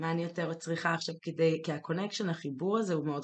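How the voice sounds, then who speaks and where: A woman with a fairly low pitch talks very fast with fairly even intonation. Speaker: podcast co-host. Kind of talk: casual chat. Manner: dominant, leading.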